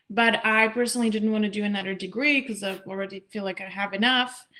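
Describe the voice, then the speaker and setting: With a Czech accent, a woman talks at a moderate pace in a fairly high pitch and fairly even intonation. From Czech Republic. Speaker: language student, scholarship recipient. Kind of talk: interview.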